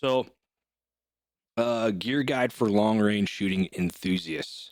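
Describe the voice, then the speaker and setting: Pitch moves up and down in an ordinary way. Behind the voice is silence, on a very clean recording. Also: man. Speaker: podcast host, long-range shooting coach. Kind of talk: solo podcast tutorial. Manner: fast; casual with many filler words.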